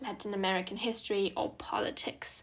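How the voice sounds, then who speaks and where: A woman with a German accent and a bright, sharp tone, monotone, flat intonation and a moderate pace. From southern Germany, near Munich. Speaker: student podcaster. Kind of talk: casual podcast monologue. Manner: many filler ums.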